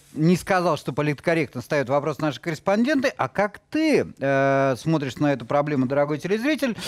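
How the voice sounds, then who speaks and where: A man's fairly high voice with ordinary pitch variation, against a quiet background. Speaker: TV talk show host. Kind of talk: TV studio discussion. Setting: TV studio. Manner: ironic. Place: studio. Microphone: headset.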